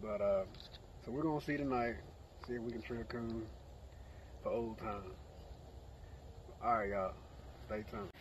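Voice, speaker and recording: A man at a fairly quick pace with ordinary pitch variation, in a dry sound with no echo and light background noise. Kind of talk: casual vlog chat. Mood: relaxed, fond. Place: open country. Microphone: phone near.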